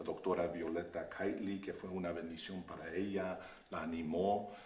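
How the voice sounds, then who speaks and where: A man with an English accent speaks at a moderate pace in a very deep, low voice and a flat monotone, with audible room echo and noticeable background noise. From Oakland, California, US. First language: English (speaking Spanish). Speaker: pastor. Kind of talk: interview. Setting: Facebook live stream. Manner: halting.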